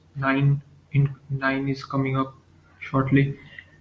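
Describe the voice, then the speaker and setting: Somewhat breathy and fairly high for a man, his voice runs in a monotone with flat intonation. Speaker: Pokemon fan video narrator. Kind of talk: casual talk to camera. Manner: hesitant, stuttering.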